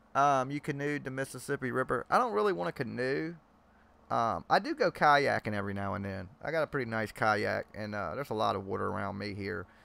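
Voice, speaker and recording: A man speaks with a strong Southern US accent at a fairly quick pace, his medium-pitched voice bright and sharp with lively intonation. The recording is very clean, with a silent background. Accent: strong Southern country. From Georgia, US South. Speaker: live stream host. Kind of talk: casual chat. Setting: live stream video chat.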